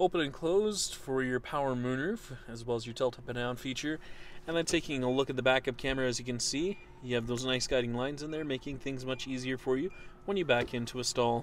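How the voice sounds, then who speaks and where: A man talks at a very fast pace, the sound dry with no echo and light noise in the background. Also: ordinary pitch variation. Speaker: car salesperson. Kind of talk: vehicle walkaround commentary. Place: car. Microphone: phone near.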